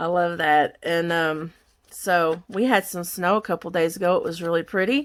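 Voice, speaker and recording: In a very clean recording with a silent background, a woman with an American accent speaks at a moderate pace, her fairly low pitch showing ordinary variation. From Kentucky, US South. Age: 50s. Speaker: crafter. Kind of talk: craft tutorial chat. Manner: casual, chatty.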